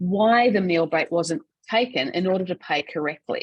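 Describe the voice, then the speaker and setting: In a dry, close recording with no echo, a woman with an Australian accent speaks in a somewhat breathy voice with lively intonation. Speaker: payroll association CEO and webinar presenter. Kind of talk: webinar presentation. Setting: online webinar. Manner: fast.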